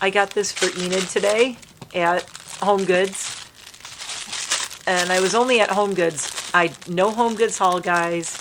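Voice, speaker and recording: A woman speaks at a medium pitch and a fairly slow pace, with long, frequent pauses and very even loudness. Her intonation is fairly even, and noticeable background noise is present. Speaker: lifestyle and makeup vlogger. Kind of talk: casual vlog chat.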